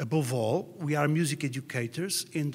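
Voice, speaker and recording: A man's fairly high, somewhat breathy voice with ordinary pitch variation, at a moderate pace. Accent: Portuguese. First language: Portuguese. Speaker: music educator. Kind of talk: presentation read from notes. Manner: halting.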